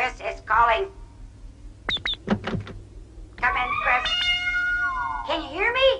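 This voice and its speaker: An extremely high-pitched cartoonish character voice, very slow, over loud background noise. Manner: stiff, formal, no contractions.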